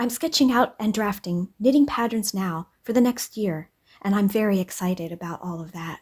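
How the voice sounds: At a moderate pace, a woman speaks at a medium pitch with ordinary pitch variation and a slightly mellow tone.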